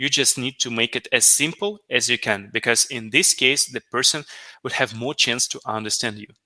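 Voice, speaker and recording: A bright, sharp tone comes through with a non-native accent at a moderate pace. The sound is dry and close with no echo, on a very clean recording with a silent background. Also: man. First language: not English. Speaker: business analyst, conference speaker. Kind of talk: conference talk Q&A. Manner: halting, many fillers.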